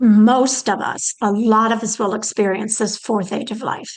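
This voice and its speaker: In a monotone, flat intonation, a woman's words come at a fairly slow pace. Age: 70s. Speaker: lecturer on aging and caregiving. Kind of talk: lecture. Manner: halting, with frequent fillers.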